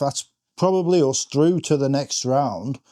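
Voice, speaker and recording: A man with an English accent, fairly high in pitch and fairly slow in pace, in a very clean recording with a silent background. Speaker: fantasy football content creator. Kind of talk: reaction vlog. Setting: home front room. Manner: stumbling over words.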